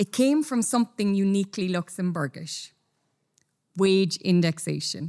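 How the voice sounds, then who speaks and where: Very wide pitch swings mark this speaker's Irish accent at a fairly slow pace. The recording is very clean, with a silent background. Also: woman. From Ireland. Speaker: company executive, conference speaker. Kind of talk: conference talk. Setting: stage with audience.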